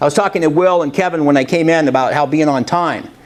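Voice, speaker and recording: A man speaks loudly. His pace is very fast. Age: 60s. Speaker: motivational speaker. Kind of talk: motivational talk. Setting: college classroom with audience, no microphone.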